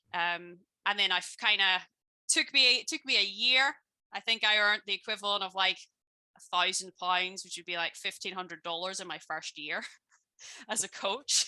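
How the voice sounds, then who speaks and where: Delivered at a moderate pace in a Belfast accent, the voice has a bright, sharp tone and big swings in loudness, with a dry, close sound and no echo. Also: woman, medium pitch for a woman, ordinary pitch variation. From Northern Ireland, Belfast. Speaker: business coach and former personal trainer. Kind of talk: interview on a live stream.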